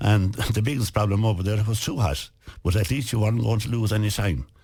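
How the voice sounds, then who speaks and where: Talking at a very fast pace, a man with a western Irish accent has a fairly low, somewhat breathy voice with a dark, mellow tone. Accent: rural west of Ireland Irish. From West of Ireland. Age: 70s. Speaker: businessman and author. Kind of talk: radio interview.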